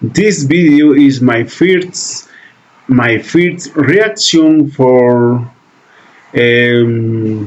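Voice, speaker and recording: A man talks at a medium pitch and a very slow pace, with long, frequent pauses and lively intonation. His loudness stays very even, and background noise is noticeable. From Peru, Lima. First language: Spanish. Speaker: reaction video creator. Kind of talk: reaction video. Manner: halting.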